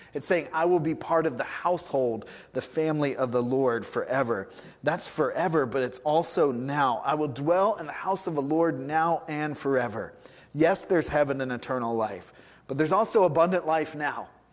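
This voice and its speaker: A man's fairly high-pitched voice at a moderate pace, with audible room echo. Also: ordinary pitch variation. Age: 40s. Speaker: pastor. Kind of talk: sermon. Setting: church. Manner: casual, conversational.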